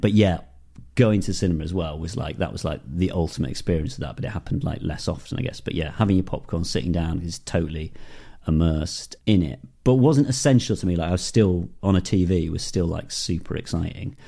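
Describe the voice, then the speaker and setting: Talking at a very fast pace with a Northeast English accent, a man uses a very deep, low pitch, a dark, mellow tone and lively intonation, captured in a very clean recording with a silent background. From northern England, Darlington. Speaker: film and TV director. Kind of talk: interview. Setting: garden shed.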